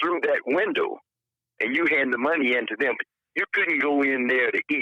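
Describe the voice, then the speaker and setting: A man is speaking. He has a Southern US accent. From Alabama, US South. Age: 70s. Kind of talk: interview answer.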